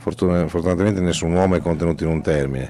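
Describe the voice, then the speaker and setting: A man with a very deep, low pitch talks at a very fast pace with ordinary pitch variation, the sound dry with no echo and light background noise. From Romagna, Italy (Forlì); Romagna, Italy. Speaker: poet and festival artistic director; poet. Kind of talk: interview. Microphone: handheld.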